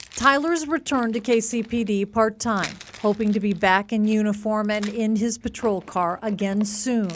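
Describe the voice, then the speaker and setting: A woman speaks in a plain, everyday voice at a moderate pace, with hardly any pauses. Her pitch is fairly high and its variation ordinary. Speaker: TV news reporter. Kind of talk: scripted narration.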